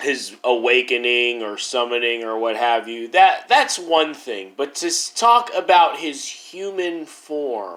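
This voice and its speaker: A man speaks at a very slow pace with hardly any pauses, his voice at a medium pitch and his intonation lively. His loudness swings widely, and there is noticeable background noise. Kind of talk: casual talk to camera. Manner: rambling, hesitant.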